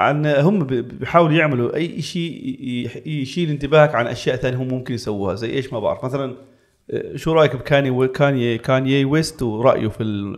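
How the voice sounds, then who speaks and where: A man's mid-range voice moves at a medium tempo, his pitch shifting in a normal way. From Palestine, raised in Jordan. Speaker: tech content creator. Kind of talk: casual chat. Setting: studio.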